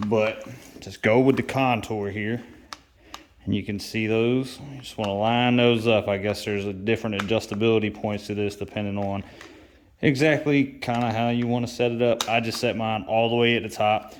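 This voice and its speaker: A man's medium-pitched voice, fairly even in intonation, is heard against noticeable background noise. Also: moderate pace. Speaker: motorcycle DIY vlogger. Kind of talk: tutorial.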